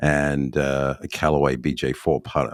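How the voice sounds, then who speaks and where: The voice belongs to a man. It comes with an Australian accent. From Australia, Adelaide. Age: 50s. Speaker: golf club builder. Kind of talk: podcast interview.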